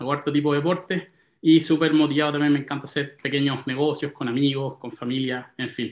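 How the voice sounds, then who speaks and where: A man with a Chilean accent, fairly high in pitch, with fairly even intonation and a fairly quick pace, audible room echo and a quiet background. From Santiago, Chile. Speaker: property investor; interview guest. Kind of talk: interview. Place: home room. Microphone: video call.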